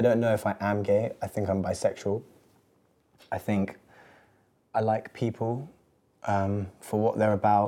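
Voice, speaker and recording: In a very clean recording with a silent background, a man with an English accent talks at a fairly slow pace in a fairly low pitch, his tone dark and mellow, his intonation monotone and flat, with long, frequent pauses. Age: 20s. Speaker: musician. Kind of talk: casual chat. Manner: hesitant, many fillers.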